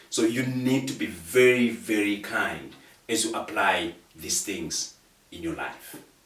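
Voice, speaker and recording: A man's passionate tone at a medium pitch, with lively intonation and a fairly slow pace, amid noticeable background noise. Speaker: guest speaker on procrastination. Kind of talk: conversational interview.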